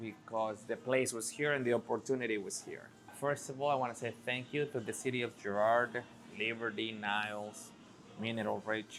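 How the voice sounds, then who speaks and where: With music in the background, a man with a Spanish accent speaks at medium pitch and a moderate pace, his intonation monotone and flat. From Mexico. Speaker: restaurant owner. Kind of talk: interview.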